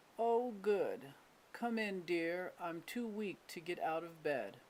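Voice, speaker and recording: A put-on character voice is used here. It sits at a middle pitch and moves at a fairly slow pace. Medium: read story.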